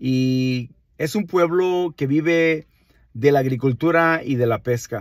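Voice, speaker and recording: A man's voice with ordinary pitch variation, dry and echo-free, over a quiet background. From Mexico, Nayarit (Villa Juárez, Santiago Ixcuintla); Nayarit, Mexico. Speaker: wine enthusiast, channel host; channel host. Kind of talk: casual vlog monologue. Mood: warm, proud, friendly. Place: car. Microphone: phone near.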